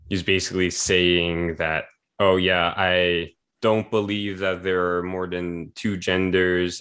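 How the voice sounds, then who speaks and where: A man talks at a fairly slow pace with a very deep, low pitch. The background is quiet. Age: 20s. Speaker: podcast host. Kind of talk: casual chat.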